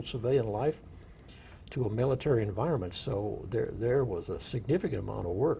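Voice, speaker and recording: Here a man with a Midwestern US accent talks in a medium pitch, his dark, mellow tone somewhat breathy. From rural Iowa. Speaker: war veteran. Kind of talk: oral history interview. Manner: halting.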